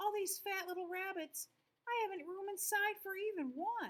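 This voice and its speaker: A woman speaks in a put-on character voice, squeaky and extremely high-pitched, at a moderate pace. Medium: read story.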